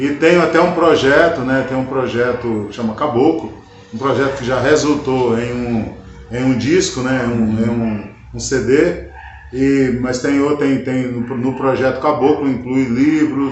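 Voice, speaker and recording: A man speaks at a fairly slow pace with fairly even intonation. Audible room echo and noticeable background noise surround him. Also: medium pitch for a man. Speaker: country guitarist and singer. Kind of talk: interview. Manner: halting.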